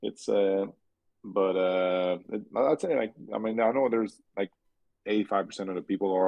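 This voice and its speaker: This man has a fairly low pitch and fairly even intonation. He talks at a moderate pace. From Quebec, Canada. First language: French. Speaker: race car driver. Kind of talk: podcast interview. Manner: halting, many fillers and repeats.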